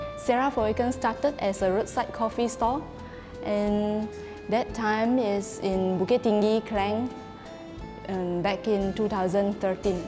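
A woman at a fairly slow pace with fairly even intonation and very even loudness, clear music in the background. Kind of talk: interview answer. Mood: warm, proud. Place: cafe.

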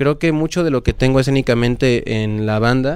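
Recorded with a dry sound and no echo, a man talks at a moderate pace with fairly even intonation. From Mexico. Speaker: band vocalist; guest. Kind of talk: interview. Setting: record shop venue. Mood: relaxed, reflective. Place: studio. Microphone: handheld.

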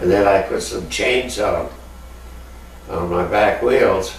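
Audible room echo with light background noise. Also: man. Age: 80s+. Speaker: retired ice hockey player. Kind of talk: oral history interview. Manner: halting. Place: home room. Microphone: camera far.

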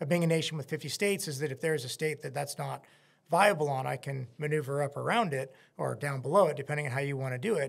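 A man speaks very fast in a somewhat breathy voice. His pitch varies in an ordinary way against a quiet background. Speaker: podcast guest. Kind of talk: interview answer. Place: studio. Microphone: studio mic.

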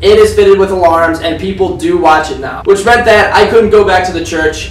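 A man talks at a fairly quick pace. Music sits in the background, and the room echo is audible. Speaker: channel host. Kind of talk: scripted video intro. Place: home room.

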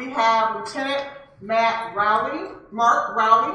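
There is audible room echo around a woman's voice. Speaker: library event host. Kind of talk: event welcome and introductions. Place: hall.

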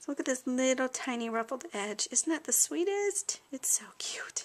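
A woman talks at a high pitch with very wide pitch swings. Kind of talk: tutorial. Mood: cheerful, enthusiastic.

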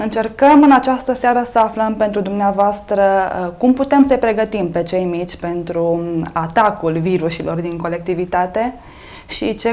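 A woman's voice, moderate pace, ordinary pitch variation. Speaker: TV show host. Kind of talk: talk show introduction and interview questions. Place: studio. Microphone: lapel.

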